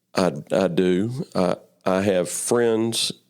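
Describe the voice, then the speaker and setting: With a Memphis accent, a man speaks at a very slow pace and fairly low pitch, keeping his intonation fairly even. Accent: Southern US (Memphis). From US South, Memphis, Tennessee. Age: 60s. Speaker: churchgoer sharing faith story. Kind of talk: interview testimony. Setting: studio interview, early morning. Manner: halting, many fillers and repeats.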